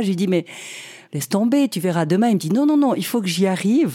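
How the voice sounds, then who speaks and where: Dark, mellow tone in a woman's medium-pitched voice. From Switzerland. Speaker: nurse. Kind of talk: interview.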